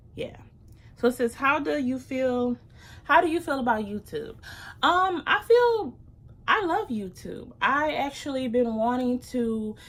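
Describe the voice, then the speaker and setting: A loud, animated woman's voice with a high pitch, lively intonation, an American accent and a moderate pace. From US Midwest, Detroit, Michigan. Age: 20s. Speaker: YouTuber. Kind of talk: casual vlog Q&A.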